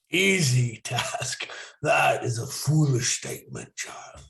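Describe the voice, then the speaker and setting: Someone puts on a raspy character voice. The lines come out at a fairly slow pace. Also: man. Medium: actual play. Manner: gruff, prickly.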